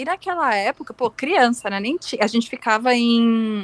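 A moderate pace in a dry, close sound with no echo. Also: woman. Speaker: podcast co-host. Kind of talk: casual chat. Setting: remote recording, not in the same place.

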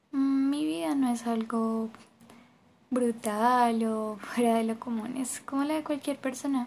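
This woman talks at a very slow pace in a fairly high pitch. Her pitch varies in an ordinary way. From Colombia, Bogotá. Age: 20s. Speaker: university student. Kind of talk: personal testimony.

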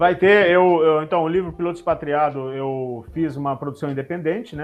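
A man talks in a plain, everyday voice at a fairly high pitch. His pace is fairly quick, with ordinary pitch variation. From Rio Grande do Sul, Brazil. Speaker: airline pilot. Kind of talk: casual interview.

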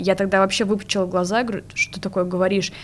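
Her speech rushes along at a very fast pace. This woman's voice holds a medium pitch. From Russia, Ryazan. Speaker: recent university graduate. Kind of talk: interview.

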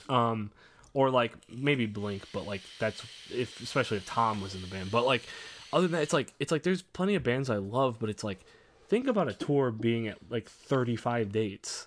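With an American accent and an ordinary speaking voice, a man talks at a moderate pace in a medium pitch, his intonation lively. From Indiana. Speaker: podcast host and musician. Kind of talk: casual chat.

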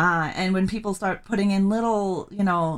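Her pitch medium, a woman speaks at a moderate pace. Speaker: podcast host. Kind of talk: interview. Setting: video call. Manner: mumbling.

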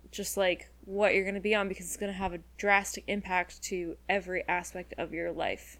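A woman speaks at medium pitch and a moderate pace, with hardly any pauses. Her intonation is monotone and flat, with vocal fry. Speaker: podcast co-host. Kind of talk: casual chat.

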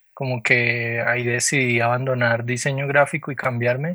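A man speaks at a moderate pace in a medium pitch with monotone, flat intonation. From Colombia, Popayán. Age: 30s. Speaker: visual artist. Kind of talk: interview. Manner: hesitant, many fillers.

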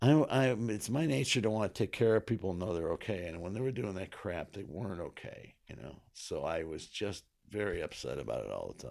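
A man talks in an American accent at a fairly quick pace. His volume swings widely. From US Northeast, New York state. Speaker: comedian and political satirist. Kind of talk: casual interview chat.

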